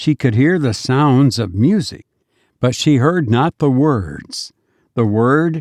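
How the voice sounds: Quiet background, with a natural reading voice.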